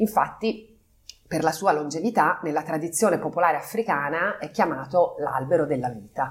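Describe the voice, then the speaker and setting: Speaking with a plain, everyday voice, a woman keeps a moderate speed and a fairly low pitch. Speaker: company partner, business executive. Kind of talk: interview. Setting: on location at company office.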